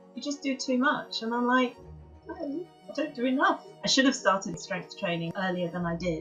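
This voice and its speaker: Music plays in the background as a woman talks at a moderate pace. Her high voice swings very widely in pitch. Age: 60s. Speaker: yoga teacher. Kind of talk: interview answer.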